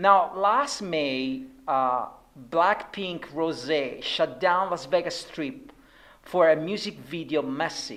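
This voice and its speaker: Lively in her intonation, a woman with a non-native accent speaks in a fairly low pitch. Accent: non-native accent, noticeable. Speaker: interviewer at an advertising awards show. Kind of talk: casual interview. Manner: many fillers, hesitant.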